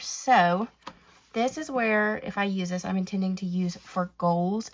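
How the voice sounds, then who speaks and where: The speaker is a woman with a medium pitch. Her pitch variation is ordinary. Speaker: planner and stationery YouTuber. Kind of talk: product flip-through tutorial. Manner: casual, halting with fillers.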